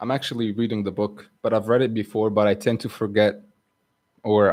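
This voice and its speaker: At a fairly quick pace, a man speaks in a fairly low voice with monotone, flat intonation. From Egypt. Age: 20s. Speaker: livestreamer. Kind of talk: casual livestream chat. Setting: live stream.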